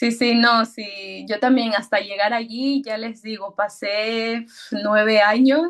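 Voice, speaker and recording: A woman talks at a very slow pace with a fairly high pitch. Her intonation is fairly even, but her loudness swings widely. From Ecuador. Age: 30s. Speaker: personal development mentor. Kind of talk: casual chat.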